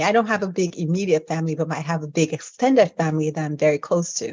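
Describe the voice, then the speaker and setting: This woman has an American accent and a fairly low pitch. Her pitch moves with ordinary variation. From Nigeria. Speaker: physician. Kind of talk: interview podcast.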